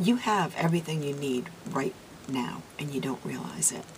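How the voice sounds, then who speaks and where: With noticeable background noise, a woman speaks at a moderate pace with lively intonation. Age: 60s. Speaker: beauty vlogger. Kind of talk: casual talk to camera.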